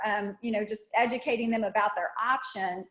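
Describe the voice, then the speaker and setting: A woman with a plain, everyday voice speaks at a moderate pace with ordinary pitch variation. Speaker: health literacy trainer. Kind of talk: webinar lecture.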